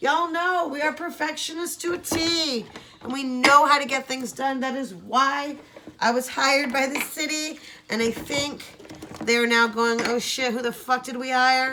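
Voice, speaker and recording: Raising and projecting her high-pitched voice, a woman talks at a moderate pace with ordinary pitch variation over noticeable background noise. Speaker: video blogger and crafter. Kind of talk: casual vlog chat. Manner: loud.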